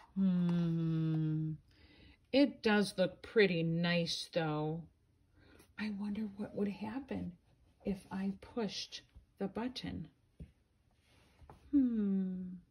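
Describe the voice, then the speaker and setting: A woman's put-on character voice at medium pitch, very slow, with long, frequent pauses. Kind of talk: bedtime story. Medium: read story. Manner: excitable, playful.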